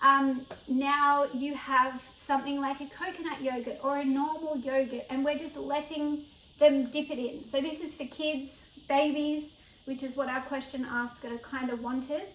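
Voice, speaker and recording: Intonation stays monotone and flat. The delivery keeps a moderate pace. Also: woman. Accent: Australian. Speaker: cooking educator. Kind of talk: tutorial. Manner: casual, chatty.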